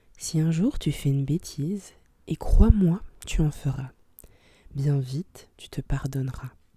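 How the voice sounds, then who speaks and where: Every word arrives soft-spoken and at a very slow pace. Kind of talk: ASMR soft-spoken story reading.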